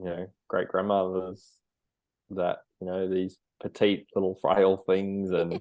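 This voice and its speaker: A man's very deep, low voice in a monotone, flat intonation, at a fairly slow pace with long, frequent pauses. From Australia, Sunshine Coast, Queensland. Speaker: dietitian and army veteran. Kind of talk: podcast interview. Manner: casual, hesitant with repetitions.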